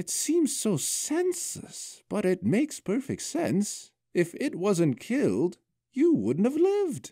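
Using a put-on character voice, a man speaks high in pitch and at a fairly slow pace. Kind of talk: fantasy story reading. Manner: warm, gentle, whimsical.

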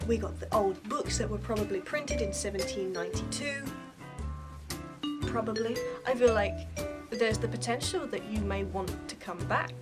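A woman speaks at a moderate pace with a British accent. Clear music plays in the background. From England. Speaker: vlogger. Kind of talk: casual talk to camera. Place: home room. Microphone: webcam.

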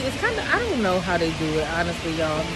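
A woman's voice over music in the background. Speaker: fashion vlogger. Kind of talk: casual vlog chat. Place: street. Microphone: phone near.

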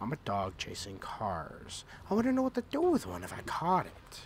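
A man puts on a guttural character voice at a fairly high pitch. He keeps a moderate pace over clear background noise. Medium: tutorial demo.

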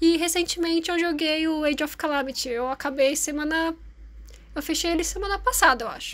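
The recording is very clean, its background silent. A woman talks at a moderate pace, varying her pitch in an ordinary way. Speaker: YouTuber and artist. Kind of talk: casual vlog talk while drawing.

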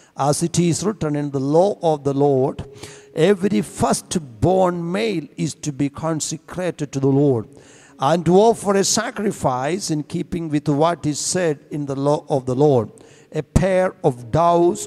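Against a quiet background, a man speaks at a fairly slow pace in a dark, mellow tone with ordinary pitch variation. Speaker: church reader or preacher. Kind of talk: scripture reading. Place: church. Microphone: handheld.

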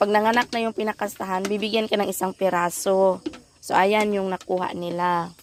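A woman's unremarkable speaking voice at medium pitch, with fairly even intonation and a moderate pace. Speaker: vlogger. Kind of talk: casual vlog narration. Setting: outdoors, family farm.

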